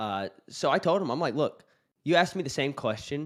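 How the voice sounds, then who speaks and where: A fairly quick delivery with vocal fry, on a very clean recording against a silent background. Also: man. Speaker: live stream host. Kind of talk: casual chat.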